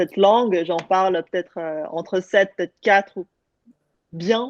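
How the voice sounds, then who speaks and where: With a Korean accent, a woman talks at a fairly slow pace, her medium pitch carried by fairly even intonation. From France, Lyon. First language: Korean (speaking French). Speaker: panelist, solo traveller. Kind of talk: casual online panel chat. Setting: online video event.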